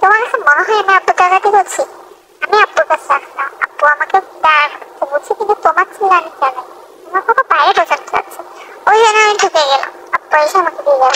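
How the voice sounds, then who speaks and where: Doing a put-on character voice at an extremely high pitch, a woman talks at a fairly quick pace in a dry, close sound with no echo. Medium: fan dub. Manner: warm, eager to please.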